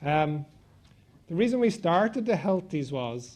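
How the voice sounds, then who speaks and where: With an Irish accent, a man speaks at a fairly high pitch and with lively intonation. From Ireland. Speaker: event host and venture capital sponsor. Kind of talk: opening speech at an awards event.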